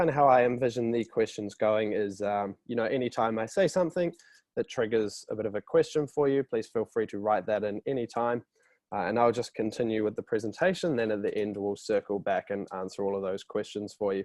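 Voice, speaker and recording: A man with a New Zealand accent, fairly quick in pace, with ordinary pitch variation over a quiet background. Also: medium pitch for a man, dry, close sound with no echo. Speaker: company representative presenting a product. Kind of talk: webinar presentation. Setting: online webinar. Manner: casual, with frequent fillers.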